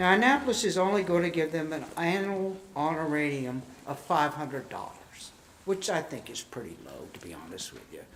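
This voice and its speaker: In a room with audible echo, a man with a fairly high pitch speaks at a moderate pace, his pitch varying in an ordinary way and his loudness swinging widely. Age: 70s. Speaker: citizen speaking at council meeting. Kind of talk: public comment. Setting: council chambers.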